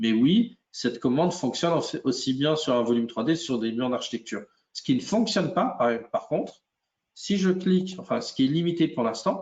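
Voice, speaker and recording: A man with a fairly high pitch speaks at a moderate pace, his pitch swinging very widely. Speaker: software product expert. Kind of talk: webinar software demo. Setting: live webinar.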